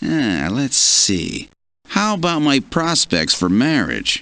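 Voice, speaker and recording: Putting on a character voice, a man speaks at a fairly slow pace with a fairly high pitch. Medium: video game.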